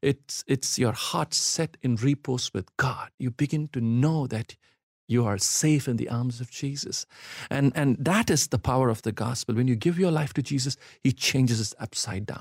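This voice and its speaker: Somewhat breathy, a man talks at a medium pitch and a moderate pace with ordinary pitch variation, recorded very cleanly with a silent background and a dry, close sound with no echo. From India. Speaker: pastor, church planter. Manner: fervent, pleading, earnest preacher's cadence.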